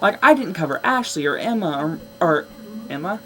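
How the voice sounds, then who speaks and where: An animated tone at a moderate pace comes through noticeable background noise. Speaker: vlogger. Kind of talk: casual vlog monologue.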